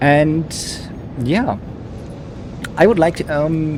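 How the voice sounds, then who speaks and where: Over music in the background, a man talks with a German accent. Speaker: flight sim streamer, airshow commentator. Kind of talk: live commentary. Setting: live stream. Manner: hesitant, many fillers.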